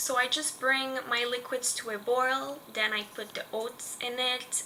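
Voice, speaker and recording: Over noticeable background noise, a woman with a Quebec accent speaks at a high pitch in a monotone, flat intonation and at a fairly slow pace. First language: French. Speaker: lifestyle vlogger. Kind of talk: casual tutorial vlog.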